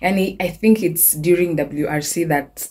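A woman's somewhat breathy voice with a dark, mellow tone and fairly even intonation, over light background noise. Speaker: vlogger. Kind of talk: casual vlog chat. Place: home room. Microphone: phone near.

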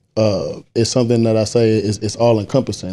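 Talking very fast in a Southern US accent, a man has a fairly low pitch and a dark, mellow tone. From US South. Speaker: poet. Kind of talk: casual chat. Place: home room. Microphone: studio mic.

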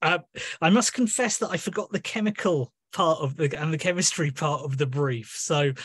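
A somewhat breathy man over a quiet background. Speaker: guest. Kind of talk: informal introduction before poetry reading. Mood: warm, self-deprecating, animated. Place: home room. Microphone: video call.

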